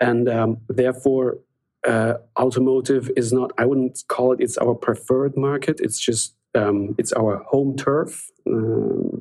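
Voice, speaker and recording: Speaking with a German accent, a man with a medium pitch goes at a fairly slow pace in a monotone, flat delivery with very even loudness. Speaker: software sales executive. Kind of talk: podcast interview. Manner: halting, many fillers.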